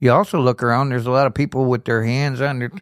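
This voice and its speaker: On a very clean recording with a silent background, a man with an Upper Midwest US accent talks with fairly even intonation. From Kenosha, Wisconsin. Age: 60s. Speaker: recovering alcoholic in treatment. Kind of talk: testimony.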